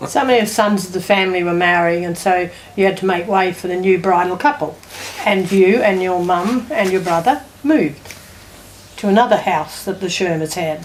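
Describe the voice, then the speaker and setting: Against noticeable background noise, a woman talks at a moderate pace and medium pitch, her pitch varying in an ordinary way. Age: 80s+. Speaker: family elder. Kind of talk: family oral history interview.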